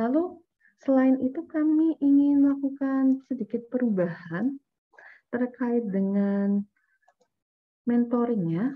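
Against a quiet background, a woman with a high pitch speaks at a very slow pace, leaving long, frequent pauses. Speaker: event organizer; workshop facilitator. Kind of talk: workshop announcements. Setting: video call. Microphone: video call.

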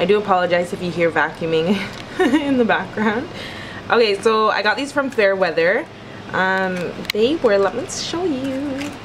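A woman talks at a moderate pace with very wide pitch swings. Background noise is noticeable. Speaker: vlogger. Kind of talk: casual vlog chat. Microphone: phone near.

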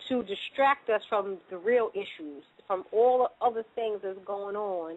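Her pitch moves with ordinary variation. This woman speaks at a moderate pace. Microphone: phone line.

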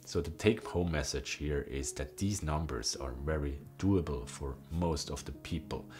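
This man's voice is very deep and low, with ordinary pitch variation, a fairly slow pace and noticeable background noise. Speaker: wellness YouTuber. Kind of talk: explanatory tutorial talk. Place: home room.

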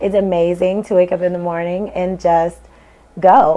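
This is a woman with an American accent. She keeps a moderate pace. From St. Louis, Missouri; Missouri. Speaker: LASIK patient. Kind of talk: testimonial. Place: office. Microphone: lapel.

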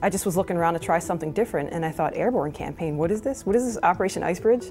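A woman speaks with a fairly low pitch. Faint music plays in the background. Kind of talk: interview answer. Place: studio. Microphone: lapel.

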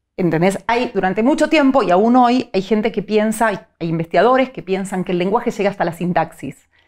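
A plain, everyday voice from a woman at medium pitch, fairly quick with hardly any pauses and lively intonation, against a quiet background. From Argentina. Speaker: psycholinguist; interview guest. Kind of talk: interview. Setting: studio. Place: studio. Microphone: lapel.

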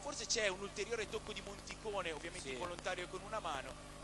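Amid noticeable background noise, a high-pitched man talks at a very fast pace in an excited tone. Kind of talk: live sports commentary. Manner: fast, fluent play-by-play, brisk and excited at the goal.

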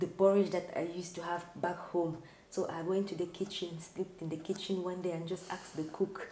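Monotone, flat intonation amid audible room echo and light background noise. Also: woman, fairly low pitch for a woman, fairly quick pace. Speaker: guest. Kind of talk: interview answer while cooking. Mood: warm, cheerful. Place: kitchen.

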